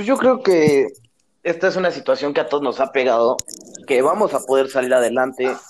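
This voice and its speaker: With a Mexican accent, a man talks at a fairly quick pace. His pitch is fairly high, with ordinary variation. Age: 20s. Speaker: university student. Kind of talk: casual chat.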